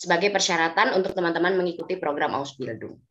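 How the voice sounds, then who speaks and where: Speaking at a very fast pace, a woman uses a fairly low pitch with ordinary pitch variation. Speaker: German language teacher; presenter. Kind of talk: webinar presentation. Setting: video call. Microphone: video call.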